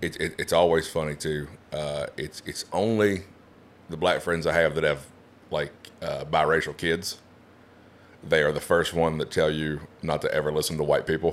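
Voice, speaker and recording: Speaking in an Appalachian accent, a man with a very deep, low pitch talks at a moderate pace with monotone, flat intonation and long, frequent pauses. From West Virginia, Appalachia. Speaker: stand-up comedian. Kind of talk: casual chat.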